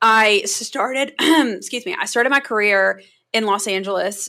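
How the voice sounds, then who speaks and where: This woman talks with a strong North Carolina accent. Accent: Southern US (North Carolina), strong. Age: 30s. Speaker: public relations consultant. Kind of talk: podcast interview.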